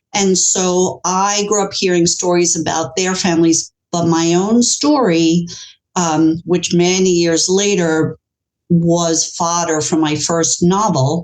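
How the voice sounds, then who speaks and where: A woman with a New York accent, fairly low pitch, fairly even intonation, very even loudness and a very slow pace. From US, New York City. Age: 60s. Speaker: author. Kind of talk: interview.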